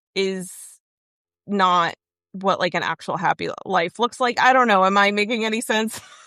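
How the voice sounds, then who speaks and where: A woman with an American accent talks in a fairly even tone, leaving long, frequent pauses, her voice dry and close with no echo while music plays behind her. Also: medium pitch for a woman, moderate pace. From Southern California, South Bay of Los Angeles. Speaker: stand-up comedian and filmmaker. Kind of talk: casual chat. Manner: frequent filler words, like.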